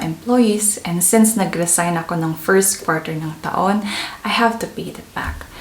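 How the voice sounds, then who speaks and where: A woman at a medium pitch with ordinary pitch variation and a moderate pace, amid audible room echo and noticeable background noise. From Philippines. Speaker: vlogger and nurse. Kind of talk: casual vlog storytelling. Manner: conversational, mixes English and Tagalog.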